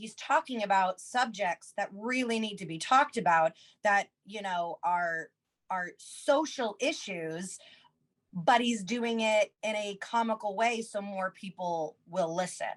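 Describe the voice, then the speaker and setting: A woman speaks at a fairly slow pace with a medium pitch and lively intonation, her sound dry and close with no echo. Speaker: comedian and musician. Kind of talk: casual interview chat. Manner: loud.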